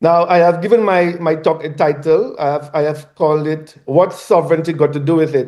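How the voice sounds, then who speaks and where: A man with a Caribbean accent, fairly high pitch, dark, mellow tone, fairly even intonation and fairly quick pace. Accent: non-Grenadian Caribbean. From Eastern Caribbean (St. Lucia). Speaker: academic panelist. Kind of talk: panel talk. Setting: video call into live panel. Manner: repetitive, halting.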